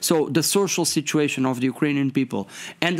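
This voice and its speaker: In a Portuguese accent, a man talks at a fairly quick pace. His voice is fairly high-pitched, with ordinary pitch variation. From Portugal. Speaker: member of European Parliament. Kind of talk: interview. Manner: halting, hesitant with fillers.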